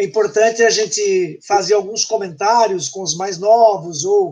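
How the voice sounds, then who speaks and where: At a fairly slow pace, a man speaks in a high voice with ordinary pitch variation. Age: 60s. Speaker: participant in the online event. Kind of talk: casual chat.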